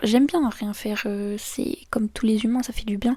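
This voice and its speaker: A woman speaks at a fairly high pitch with a dark, mellow, somewhat breathy tone and fairly even intonation. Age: 20s. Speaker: YouTuber. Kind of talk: casual chat. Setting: face-cam video at home.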